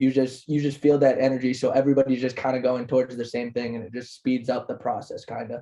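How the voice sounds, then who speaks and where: The voice is dark and mellow, with monotone, flat intonation and big swings in loudness. It moves at a very fast pace with hardly any pauses. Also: man, medium pitch for a man. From Egypt, moved to US at nine. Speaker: parkour and tricking athlete, influencer. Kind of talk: podcast interview. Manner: casual, relaxed.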